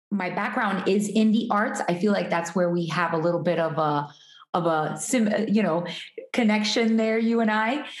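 The speaker has an American accent and very even loudness at a moderate pace. Pitch varies in an ordinary way, and room echo is audible. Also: woman, medium pitch for a woman. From Miami, Florida (Hialeah). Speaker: artist and entrepreneur. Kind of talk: interview conversation. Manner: energetic.

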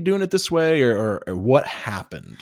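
Using an ordinary speaking voice, a man talks at a fairly slow pace. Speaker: podcast host. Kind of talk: casual conversation interview.

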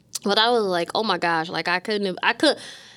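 A woman with a plain, everyday voice, an American accent, medium pitch and ordinary pitch variation. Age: 30s. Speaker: podcast co-host, mortgage professional. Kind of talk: casual chat. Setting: studio.

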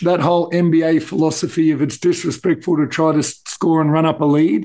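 Keeping his loudness very even, a man with an Australian accent speaks at a moderate pace in a fairly high pitch with a dark, mellow tone. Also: quiet background. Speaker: basketball podcast co-host. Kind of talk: casual chat.

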